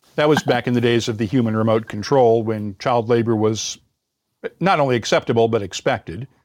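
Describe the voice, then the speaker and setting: The speaker talks at a fairly quick pace with a Midwestern US accent, ordinary pitch variation and very even loudness. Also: man, medium pitch for a man. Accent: General American, Midwestern. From US Midwest, Indiana. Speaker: podcast host and former radio reporter. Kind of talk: interview. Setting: online call.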